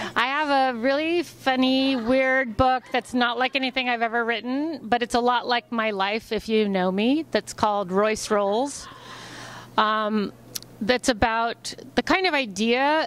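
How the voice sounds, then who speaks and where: A woman's high-pitched voice at a fairly slow pace, with ordinary pitch variation, very even loudness and dry sound with no echo. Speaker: interviewee. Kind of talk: interview answer. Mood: playful, chatty. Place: hall. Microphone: handheld.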